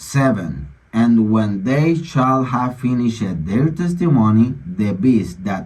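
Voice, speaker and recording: A man with a non-native accent talks at a very slow pace and medium pitch, his voice making very wide pitch swings. Room echo is audible. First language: Spanish. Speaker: online commentator on religion and politics. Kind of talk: bible reading with commentary.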